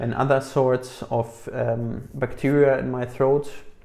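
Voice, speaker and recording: This man's voice has a dark, mellow tone at a medium pitch. His intonation stays monotone and flat. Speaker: chronically ill person sharing health experience. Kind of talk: casual talk to camera. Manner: hesitant, many filler words.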